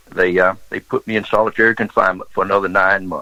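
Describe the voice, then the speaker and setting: A man with a Southern US accent talks at a fairly quick pace, the sound dry and close with no echo. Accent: Southern US (Georgia). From US South, Georgia. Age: 70s. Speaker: former smuggler and pilot. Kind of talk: interview storytelling.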